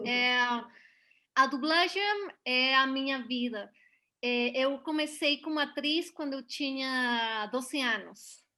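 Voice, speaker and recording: A woman's raised, projected voice with a Mexican accent, high in pitch with a bright, sharp tone, ordinary pitch variation, a very slow pace and long, frequent pauses. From Mexico, Puebla. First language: Spanish (speaking Portuguese). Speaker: voice actress and dubbing director. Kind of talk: interview. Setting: video call. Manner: halting.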